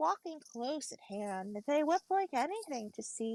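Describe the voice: A quiet background behind plain reading aloud.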